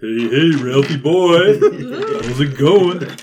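A man puts on a put-on character voice, pitched fairly high. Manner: goofy.

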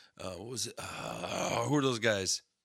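At a fairly slow pace, a man talks in an unremarkable speaking voice with a medium pitch. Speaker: podcast co-host. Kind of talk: casual chat.

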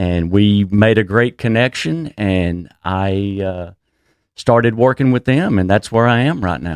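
In a Texan accent, a man with a fairly low pitch talks at a fairly slow pace with lively intonation, the sound dry and close with no echo against a quiet background. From Texas. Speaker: cannabis business executive. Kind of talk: interview. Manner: halting.

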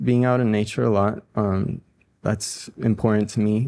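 Against a quiet background, a man with a Spanish accent talks at a fairly slow pace in a medium pitch. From Ecuador, raised in Boulder, Colorado from age ten. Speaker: musician, band frontman and singer. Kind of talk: interview.

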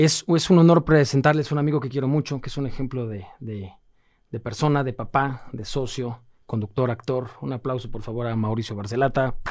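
With a plain, everyday voice, a man talks at a fairly quick pace, medium in pitch with ordinary pitch variation. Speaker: podcast host. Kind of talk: casual interview chat.

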